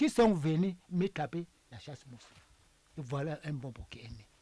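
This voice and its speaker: A man is speaking. His pace is fairly slow. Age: 80s+. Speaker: traditional priest. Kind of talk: interview.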